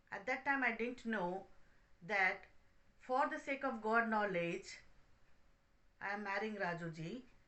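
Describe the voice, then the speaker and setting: Her pitch sits fairly high for a woman. She speaks at a moderate pace with a Telugu accent. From India, Hyderabad. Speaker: spiritual speaker. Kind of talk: testimony.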